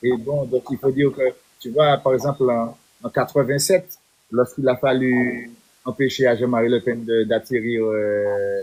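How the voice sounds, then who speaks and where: A man's normal speaking voice, medium in pitch, with fairly even intonation and a fairly slow pace. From Martinique. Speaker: reggae singer and activist. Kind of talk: interview. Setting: live stream.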